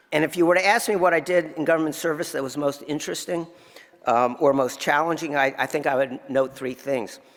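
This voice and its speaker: A normal speaking voice from a man with an American accent, fairly high in pitch, fairly quick, with ordinary pitch variation. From New Jersey. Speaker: tax lawyer. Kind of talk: award acceptance speech.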